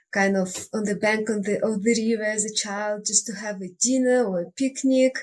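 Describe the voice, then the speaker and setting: A woman with a Russian accent speaks at a fairly high pitch. Her voice is somewhat breathy, and her intonation stays fairly even. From Russia (Siberia). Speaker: life coach and nature retreat guide. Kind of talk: interview.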